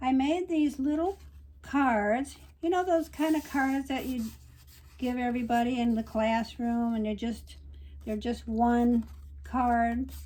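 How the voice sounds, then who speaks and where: A woman speaks with a high pitch and ordinary variation, her tone dark and mellow. She leaves long, frequent pauses. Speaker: watercolor art teacher. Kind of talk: tutorial. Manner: casual, hesitant with fillers.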